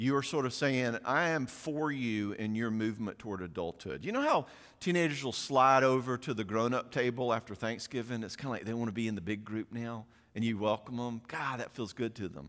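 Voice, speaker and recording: A medium-pitched man with an American accent at a fairly quick pace, ordinary pitch variation, and a very clean recording with a silent background. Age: 60s. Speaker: parenting speaker and counselor. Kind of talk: audience Q&A; conference talk. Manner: animated.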